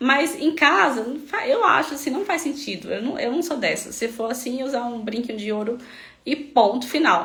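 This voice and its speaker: Noticeable background noise and audible room echo behind a moderate pace and lively intonation. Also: woman, high pitch for a woman. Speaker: health practitioner treating melasma patients. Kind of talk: live stream talk. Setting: online live stream.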